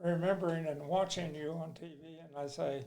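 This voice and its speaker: Audible room echo surrounds a man with a Texas accent and fairly high pitch, who speaks at a moderate pace in a flat monotone. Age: 80s+. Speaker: amusement park owner. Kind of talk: casual interview.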